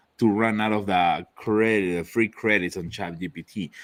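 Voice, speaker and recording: In a very clean recording with a silent background, a man with a non-native accent speaks at a moderate pace. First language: not English. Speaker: laser accessory maker. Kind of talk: casual chat.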